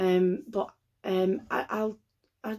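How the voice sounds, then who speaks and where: A woman with a Lancashire accent speaks at a medium pitch with fairly even intonation. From northern England, Lancashire. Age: 30s. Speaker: book vlogger. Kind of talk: casual vlog talk to camera. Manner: hesitant, many filler ums.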